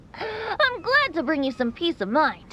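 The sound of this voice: A woman performs a put-on character voice at a slow pace, her extremely high pitch making very wide swings, with a fairly bright tone.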